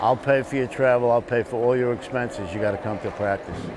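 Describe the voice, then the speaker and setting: A fairly quick, monotone man with an American accent, flat in intonation, against noticeable background noise. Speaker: war veteran; retired police lieutenant. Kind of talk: interview answer.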